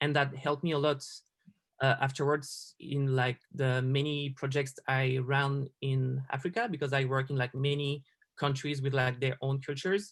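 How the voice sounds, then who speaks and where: A man with a French accent speaks at a moderate pace in a fairly high, somewhat breathy voice. His intonation is monotone and flat, his loudness very even, and the recording very clean with a silent background. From France. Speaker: designer. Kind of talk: interview.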